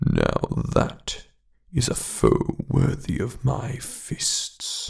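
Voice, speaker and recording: Using a put-on character voice, a man speaks at a very slow pace. His pitch stays medium. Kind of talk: soft-spoken ASMR storytelling. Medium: read story.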